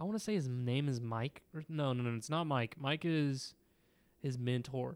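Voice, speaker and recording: A man at a moderate pace, an ordinary speaking voice. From Indiana, US Midwest. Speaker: student. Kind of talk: casual book discussion.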